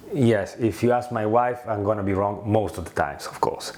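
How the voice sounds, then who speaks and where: A man talks at a moderate pace with a strong Italian accent. Noticeable background noise runs behind him. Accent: thick Italian. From Italy. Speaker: former prop trading company founder. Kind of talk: casual video presentation. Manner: halting with many fillers.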